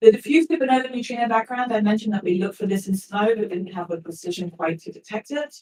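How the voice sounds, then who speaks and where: The speech rushes at a very fast pace with hardly any pauses. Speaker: physicist. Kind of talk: conference talk.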